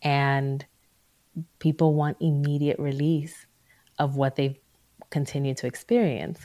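Her tone dark and mellow, a woman with a very deep, low pitch speaks at a fairly slow pace with fairly even intonation and long, frequent pauses. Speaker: psychologist. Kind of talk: casual interview chat.

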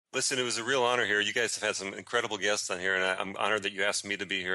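Very fast and fairly even in intonation, a man talks in a fairly low, bright, sharp voice with an American accent. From US, Chicago then Florida. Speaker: writer and teacher living abroad. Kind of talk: interview.

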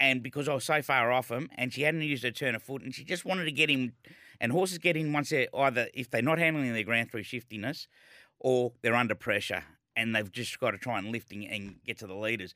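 A man with an Australian accent talks at a very fast pace in a bright, sharp tone. His pitch is medium with ordinary variation, on a very clean recording with a silent background. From Melbourne, Australia. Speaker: former jockey and racing broadcaster. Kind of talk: interview.

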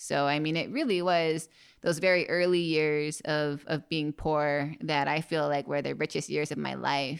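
In a very clean recording with a silent background, a woman speaks at a fairly slow pace in a very deep, low voice with monotone, flat intonation. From Hawaii, Maui. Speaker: free diver and spearfisher. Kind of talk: casual interview. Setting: parents' house.

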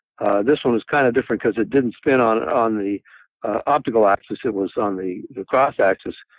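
A man uses an ordinary speaking voice at a medium pitch with ordinary pitch variation. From Canada, Toronto. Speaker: cinematographer. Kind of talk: interview.

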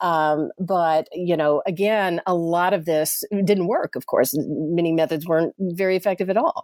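A woman with an American accent speaks at a moderate pace with hardly any pauses. Her fairly low voice has fairly even intonation in a dry, close sound with no echo. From US South, Chattanooga, Tennessee. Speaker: professor and author. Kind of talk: interview about her book. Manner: hesitant fillers, frequent repeated words.

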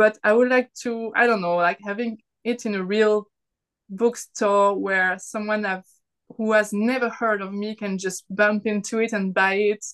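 A woman's fairly high, monotone voice with a French accent, at a fairly slow pace, in a dry, close sound with no echo and a quiet background. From France. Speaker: artist and self-published author. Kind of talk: casual chat.

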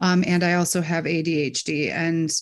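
The recording is very clean, with a silent background. A woman with an American accent speaks at a fairly low pitch. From Michigan, US Midwest. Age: 40s. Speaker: adoptee sharing her story. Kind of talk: interview testimony.

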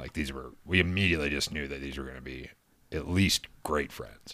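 Speaking at a fairly quick pace, a man with a very deep, low pitch and a bright, sharp tone uses vocal fry, fairly even intonation and big swings in loudness. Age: 40s. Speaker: comedian, polyamorous relationship member. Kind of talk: casual interview chat.

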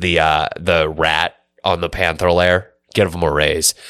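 With an American accent, a man's very deep, low voice comes through in a bright, sharp tone on a very clean recording with a silent background. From Pittsburgh area, Pennsylvania. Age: 20s. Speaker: sports podcast co-host. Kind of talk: casual chat.

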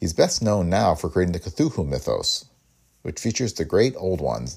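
A man with a very deep, low pitch and a dark, mellow tone speaks with vocal fry. His intonation is lively and his pace fairly quick. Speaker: podcast host. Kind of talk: scripted intro and promo reading.

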